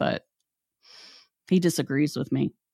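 A woman's very deep, low voice with vocal fry, ordinary pitch variation and an Appalachian accent, on a very clean recording with a silent background. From West Virginia. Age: 50s. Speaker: podcast host. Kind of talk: casual chat.

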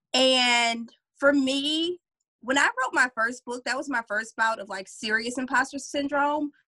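In an American accent, a woman speaks in a high, bright, sharp voice, raised and projected, at a fairly slow pace with fairly even intonation and a dry, close sound with no echo. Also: big swings in loudness. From Louisiana, US South. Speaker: career coach and author. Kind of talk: interview conversation.

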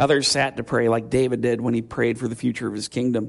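Against a quiet background, a man's voice carries audible vocal fry. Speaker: pastor. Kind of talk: sermon.

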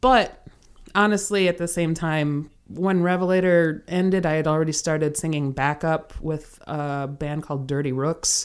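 The speech has an American accent, a moderate pace and ordinary pitch variation. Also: woman, very deep, low pitch for a woman. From US Midwest, Kenosha, Wisconsin. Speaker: singer and theater actress. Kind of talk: casual interview chat. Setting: remote call.

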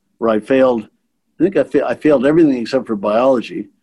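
With a Manitoban accent, a man speaks at a fairly quick pace in a dark, mellow tone and a medium pitch. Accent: Canadian (Manitoba). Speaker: retired bank executive. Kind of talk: interview reminiscence. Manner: halting with repetitions.

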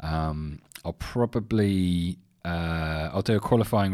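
A man with an English accent, a very deep, low pitch and a dark, mellow tone, in a very clean recording with a silent background. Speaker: podcast host. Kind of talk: casual solo sports chat. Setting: home studio.

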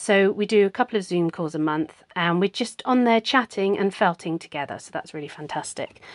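An unremarkable speaking voice moves at a fairly quick pace with ordinary pitch variation and big swings in loudness. The sound is dry and close, with no echo. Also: woman, medium pitch for a woman. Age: 40s. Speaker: podcast host and needle felting artist. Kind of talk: casual monologue. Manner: conversational with fillers.

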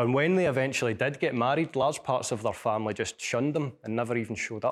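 In a very clean recording with a silent background, a man with a Glasgow accent speaks at a medium pitch. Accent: Glasgow Scottish. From Scotland. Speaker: scientist and author. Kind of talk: lecture. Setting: lecture hall with audience.

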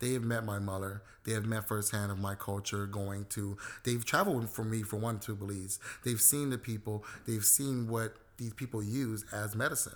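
With an American accent and an ordinary speaking voice, a man talks at a moderate pace in a fairly low pitch and fairly even intonation, recorded very cleanly against a silent background. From South Central Los Angeles. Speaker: CBD company co-founder. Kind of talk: interview. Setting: on location in Boyle Heights.

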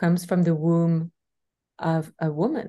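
A woman speaks at a fairly slow pace with a fairly low pitch and a dark, mellow tone. Her voice is somewhat breathy, over a quiet background. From Belgium. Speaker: spiritual teacher. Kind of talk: interview conversation.

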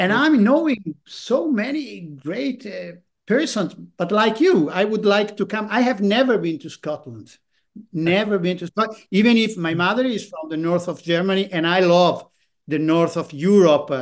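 Intonation is lively as a man talks at a moderate pace in an Italian accent. His pitch sits high. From northern Italy. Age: 50s. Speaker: photographer.

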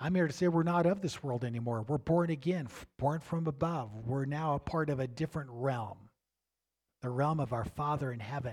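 A fairly quick, somewhat breathy voice with ordinary pitch variation, on a very clean recording with a silent background. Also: man, fairly high pitch for a man. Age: 60s. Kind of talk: sermon. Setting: congregation service with live audience.

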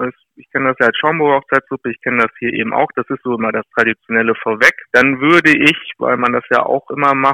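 This man has a normal speaking voice at medium pitch with ordinary pitch variation, moving at a fairly quick pace with big swings in loudness on a very clean recording with a silent background. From Lower Saxony, Weser area near Rinteln. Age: 40s. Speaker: mayoral candidate. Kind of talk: interview.

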